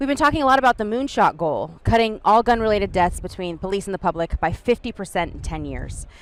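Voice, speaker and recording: A woman talks at a very fast pace with hardly any pauses, her medium pitch carried on lively intonation. The recording is very clean, with a silent background. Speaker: TV host / anchor. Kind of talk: broadcast host and interviewer.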